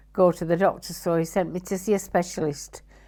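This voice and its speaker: With a Yorkshire accent, a woman speaks at a fairly low pitch. Her intonation stays fairly even. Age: 70s. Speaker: amputee interviewee. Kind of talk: testimony. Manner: halting.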